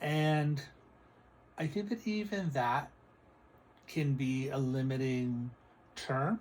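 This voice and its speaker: The man's voice is somewhat breathy and sits at a medium pitch. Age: 60s. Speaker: psychic and spiritual video creator. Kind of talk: casual spiritual vlog monologue.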